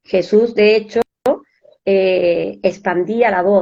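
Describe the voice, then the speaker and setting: A woman speaks in a plain, everyday voice. Her pitch is medium, with fairly even intonation. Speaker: spiritual speaker. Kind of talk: podcast interview, explaining a topic.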